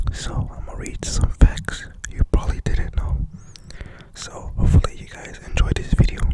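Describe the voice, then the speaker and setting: A man whispers at a moderate pace, with big swings in loudness. Noticeable background noise is present. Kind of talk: ASMR fact reading to camera. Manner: whispered, soft-spoken.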